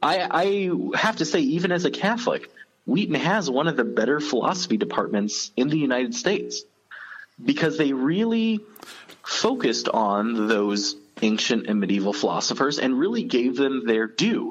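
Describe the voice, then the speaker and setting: At a moderate pace, a man with a fairly high pitch swings his pitch very widely while keeping his loudness very even. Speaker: guest. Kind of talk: casual chat. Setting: phone call.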